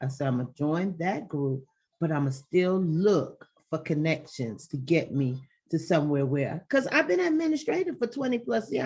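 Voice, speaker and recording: Loud woman's voice, very deep and low in pitch, with very wide pitch swings at a moderate pace. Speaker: virtual assistant. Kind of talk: interview. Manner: animated.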